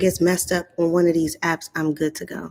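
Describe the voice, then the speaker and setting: Quiet and fairly low-pitched, a woman talks at a moderate pace. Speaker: speech-language pathologist. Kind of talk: live stream talk. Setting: live session in a community area. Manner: low voice, kept quiet; hesitant, many fillers.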